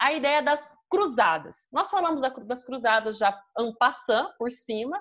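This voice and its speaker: Speaking in a Brazilian accent against a quiet background, a woman uses a high voice with very wide pitch swings at a fairly slow pace. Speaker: history teacher. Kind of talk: online class lecture.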